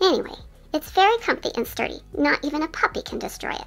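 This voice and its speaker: A female-sounding voice is put on as a squeaky character voice with a high pitch. It races along at a very fast pace. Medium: voice reel. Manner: calm, earnest, slightly prim.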